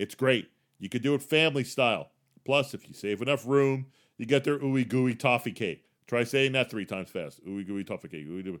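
A man's medium-pitched voice, a plain, everyday voice, at a fairly quick pace, with ordinary pitch variation and big swings in loudness. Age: 50s. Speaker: podcast host. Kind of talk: solo podcast tips monologue. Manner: casual, conversational.

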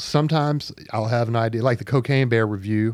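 In a very clean recording with a silent background, a man with a Southern US accent talks at a medium pitch with ordinary pitch variation. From Arkansas, Pine Bluff. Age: 40s. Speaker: writer for a political publication. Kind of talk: casual chat. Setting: studio.

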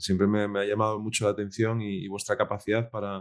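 A man talks fairly quickly in a fairly low voice. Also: quiet background. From Spain, Asturias (Piedras Blancas). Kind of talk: interview conversation. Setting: remote call. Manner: hesitant, repeats words.

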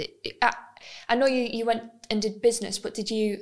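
A woman talks at a fairly quick pace and a fairly high pitch, with fairly even intonation.

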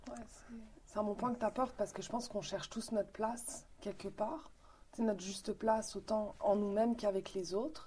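A woman speaks at a fairly high pitch in a somewhat breathy voice. Her tone is dark and mellow. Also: ordinary pitch variation, fairly quick pace. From Morocco, then Quebec from age 13. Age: 30s. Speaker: philosophy school volunteer. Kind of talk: interview.

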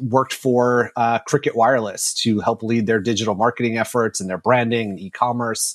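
Monotone, flat delivery in an American accent with hardly any pauses, on a very clean recording with a silent background. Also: man, dry, close sound with no echo. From New York. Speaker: marketing executive. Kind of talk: interview.

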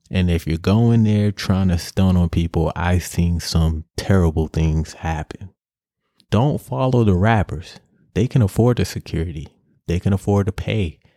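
With an American accent, a man speaks at a moderate pace in a very deep, low voice with a dark, mellow tone and ordinary pitch variation, recorded with a dry, close sound and no echo. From New York City, Harlem. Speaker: podcast host. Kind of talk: solo rant. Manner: animated.

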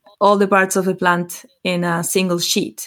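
This is a woman speaking. She has a Spanish accent. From Chile. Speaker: botanical artist. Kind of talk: interview.

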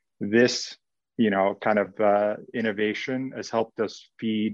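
A man's fairly low pitch in monotone, flat intonation against a quiet background. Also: dry, close sound with no echo. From Hungary, raised in US (LA, Carolinas) from age six. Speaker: venture capital investor. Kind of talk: interview. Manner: hesitant with filler words.

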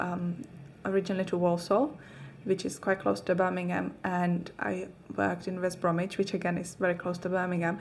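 A woman with a Czech accent, fairly low in pitch, flat and monotone, at a fairly quick pace. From Czech Republic. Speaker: fitness coach. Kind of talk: casual chat.

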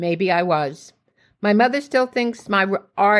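The reading aloud is plain, and the background stays quiet.

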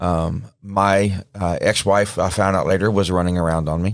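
In a very clean recording with a silent background, a man with a Southern US accent speaks at a very deep, low pitch. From Mississippi. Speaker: paramedic and pastor. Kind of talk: studio interview. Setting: studio. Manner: halting.

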